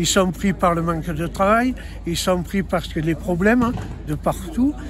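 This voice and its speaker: A man speaks in a high pitch at a fairly slow pace, with ordinary pitch variation. Background noise is noticeable. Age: 70s. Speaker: racing circuit owner. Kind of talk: interview.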